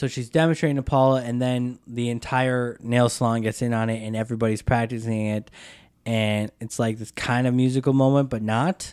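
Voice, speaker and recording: An unremarkable speaking voice from a man with an American accent, medium in pitch, fairly even in intonation, at a fairly quick pace, in a very clean recording with a silent background. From US Upper Midwest, Wisconsin. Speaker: film and TV editor. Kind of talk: casual movie discussion podcast.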